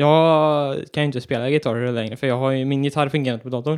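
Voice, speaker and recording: His intonation is monotone and flat. The man's pitch is fairly high. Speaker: podcast co-host. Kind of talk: casual chat.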